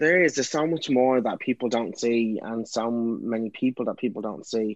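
Speaking at a fairly quick pace with a Dublin accent, a man at medium pitch is captured in a dry, close sound with no echo. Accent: Irish (Dublin). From Ireland, Dublin. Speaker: actor and writer. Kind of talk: casual interview. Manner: animated.

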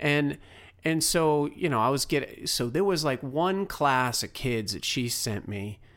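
This man has an unremarkable speaking voice pitched fairly high. He talks at a fairly slow pace with lively intonation. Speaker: podcast host. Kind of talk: interview.

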